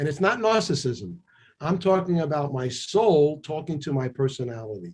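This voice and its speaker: This man has a fairly high, somewhat breathy voice. He talks at a moderate pace. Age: 70s. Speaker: chiropractor and author. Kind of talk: interview conversation. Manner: animated.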